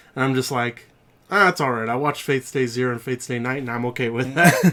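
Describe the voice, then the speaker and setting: Talking at a very fast pace with a Texas accent, a man has a medium pitch, ordinary pitch variation and a bright, sharp tone. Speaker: podcast co-host. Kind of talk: casual chat.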